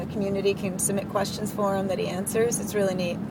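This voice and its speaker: With noticeable background noise and audible room echo, a woman speaks at a medium pitch in a monotone, flat intonation. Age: 30s. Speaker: video channel owner. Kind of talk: casual chat.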